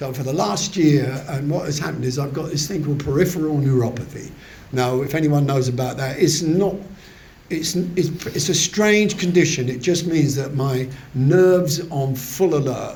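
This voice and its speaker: A man talks at a moderate pace, fairly high in pitch with ordinary pitch variation. Audible room echo and noticeable background noise surround him. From southern England. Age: 70s. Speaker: recovery meeting speaker. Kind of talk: testimony. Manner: halting.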